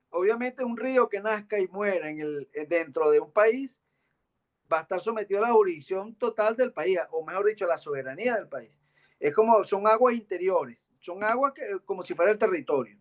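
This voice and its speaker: A man with a high voice and lively intonation talks at a moderate pace, the sound dry and close with no echo. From Venezuela, Guárico (llanos). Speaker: postdoctoral researcher presenting. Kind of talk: academic presentation discussion.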